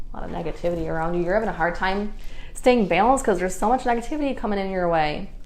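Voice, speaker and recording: The woman talks at a very fast pace. There is audible room echo. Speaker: psychic card reader. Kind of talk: live stream reading. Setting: live stream.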